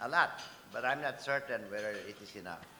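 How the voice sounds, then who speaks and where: Noticeable background noise accompanies a man's voice. Audible room echo is present too. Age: 70s. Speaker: business executive, keynote speaker. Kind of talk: keynote speech. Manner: formal.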